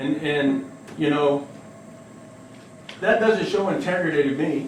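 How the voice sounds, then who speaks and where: A man with an American accent, ordinary pitch variation, audible room echo and noticeable background noise. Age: 50s. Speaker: resident speaking at public comment. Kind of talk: public comment at council meeting. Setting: village council meeting. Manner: halting, repetitive.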